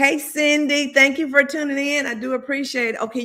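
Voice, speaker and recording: The voice is loud and moves at a moderate pace. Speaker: livestream host, former high school teacher.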